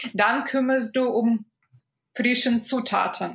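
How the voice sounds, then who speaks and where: A woman with a Russian accent speaks at a very slow pace. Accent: Russian-sounding foreign accent in German. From Belarus (Minsk). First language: Russian or Belarusian (speaking German). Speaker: food photographer. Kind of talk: podcast interview. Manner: halting, many fillers.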